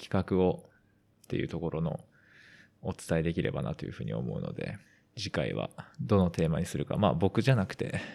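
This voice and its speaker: Vocal fry runs through this fairly quick speech, which has very wide pitch swings and long, frequent pauses on a very clean recording with a silent background. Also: man. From western Tokyo, Japan. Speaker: amateur footballer and podcast co-host. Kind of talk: casual podcast chat.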